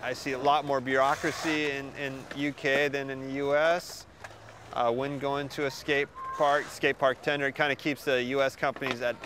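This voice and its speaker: A man speaks at a moderate pace in a fairly high pitch, his intonation monotone and flat, with noticeable background noise behind him. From US, Oregon. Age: 30s. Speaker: skatepark designer and builder. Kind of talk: interview answers. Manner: casual, halting with repetitions.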